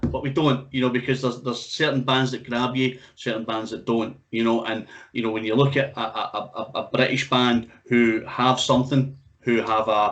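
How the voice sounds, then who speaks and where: Speaking at a moderate pace, a man with medium pitch keeps a monotone, flat intonation. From Scotland. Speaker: music interviewer and radio host. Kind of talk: casual interview chat.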